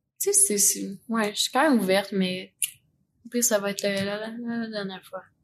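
Speaking at a fairly slow pace with a Quebec accent, a woman uses fairly even intonation at a medium pitch, her voice somewhat breathy. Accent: Québécois French. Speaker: podcast guest. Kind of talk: casual chat. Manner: laughs often.

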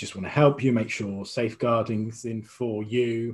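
A man with a British accent talks at medium pitch in a somewhat breathy voice. His pace is fairly slow. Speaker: interview guest. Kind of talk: interview.

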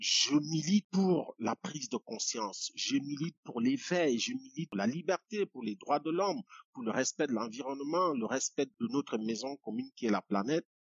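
A man with a normal speaking voice, fairly high pitch, lively intonation and a moderate pace. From Cameroon, village near Yaoundé. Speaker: poet and activist. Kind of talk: interview. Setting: video call.

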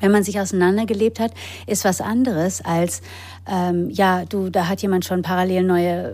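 A woman speaks at a moderate pace in a medium pitch, her dark, mellow tone carrying ordinary pitch variation. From grew up in England, Germany and the US. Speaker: actress, author and yoga teacher. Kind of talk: personal testimony in interview. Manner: hesitant with fillers.

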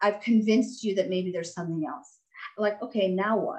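A woman's normal speaking voice, fairly high in pitch, with ordinary pitch variation. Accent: American. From Texas. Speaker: doctor and author. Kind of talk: interview.

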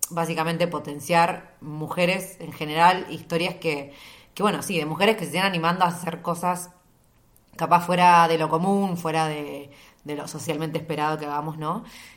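A woman talks at a moderate pace with a fairly low pitch and monotone, flat intonation. Audible room echo surrounds her voice. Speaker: podcast host. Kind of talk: casual solo monologue.

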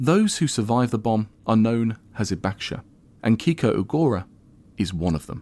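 In a very clean recording with a silent background, a man speaks at a moderate pace in an ordinary speaking voice, with medium pitch and lively intonation. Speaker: history podcast host. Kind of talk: interview with scripted narration.

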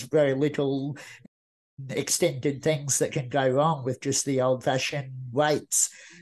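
A man with an Australian accent speaks at a moderate pace in a fairly high voice. His intonation is flat and monotone against a quiet background. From Australia, rural Queensland. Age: 40s. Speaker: motivational speaker. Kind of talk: interview.

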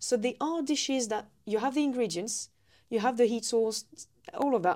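In a French accent, a woman with a fairly high pitch and a dark, mellow tone speaks at a moderate pace with ordinary pitch variation, on a very clean recording with a silent background. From eastern France. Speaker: food historian and living history demonstrator. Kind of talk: casual chat. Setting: on location at a heritage centre.

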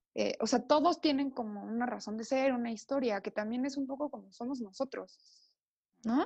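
With a Mexican accent, a woman speaks at a moderate pace in a high pitch with ordinary pitch variation. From Mexico, Oaxaca. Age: 30s. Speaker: designer and accessories entrepreneur. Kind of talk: casual interview chat.

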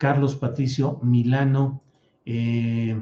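Speaking very slowly at a medium pitch, a man uses fairly even intonation and a dark, mellow tone that is somewhat breathy. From Mexico, Torreón, raised in San Luis Potosí. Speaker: political journalist and show host. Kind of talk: live political commentary show. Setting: live stream.

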